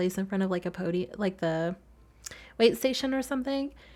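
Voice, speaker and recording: Recorded very cleanly against a silent background, a soft-spoken voice with an American accent has lively intonation. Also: woman. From US South. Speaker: gaming video creator. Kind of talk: casual voiceover commentary. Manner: fast.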